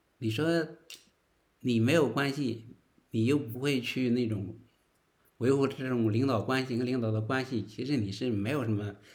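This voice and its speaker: The speaker is a man with a medium pitch. He keeps to a moderate pace. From northern China. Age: 40s. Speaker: interview guest sharing life story. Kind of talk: casual interview. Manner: halting, many filler words.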